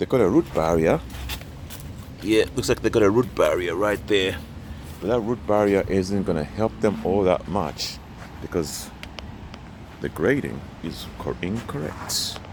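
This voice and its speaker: A man with a very deep, low voice speaks with lively intonation and long, frequent pauses. Noticeable background noise is present. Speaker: vlogger touring churches. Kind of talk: casual walking tour vlog. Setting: outdoors, walking around a church. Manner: halting, self-correcting.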